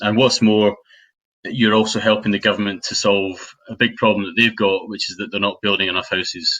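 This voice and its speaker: Fairly low in pitch, a man speaks with monotone, flat intonation. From Scotland (Dunblane, Stirling area). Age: 40s. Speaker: property investor and trainer. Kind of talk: webinar presentation. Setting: online webinar. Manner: hesitant, many fillers.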